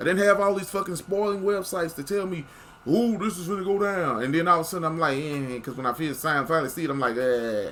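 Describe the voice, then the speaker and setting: A man's high, animated voice at a very fast pace, with lively intonation, over noticeable background noise. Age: 40s. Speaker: wrestling commentary youtuber. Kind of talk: casual rant to camera. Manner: stammering repetitions.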